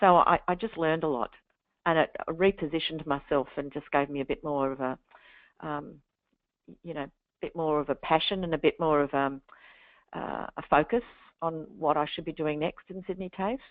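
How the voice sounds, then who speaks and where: Speaking in an Australian accent at a moderate pace, a woman with a very deep, low pitch leaves long, frequent pauses. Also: ordinary pitch variation. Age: 60s. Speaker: literacy and numeracy educator. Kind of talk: webinar interview. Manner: halting.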